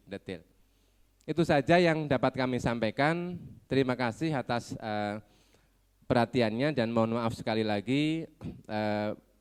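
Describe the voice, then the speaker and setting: A fairly quick pace, ordinary pitch variation and a dry, close sound with no echo. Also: man. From Ponorogo, East Java. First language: Javanese (speaking Indonesian). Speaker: education office representative. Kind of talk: ceremonial speech. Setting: graduation ceremony.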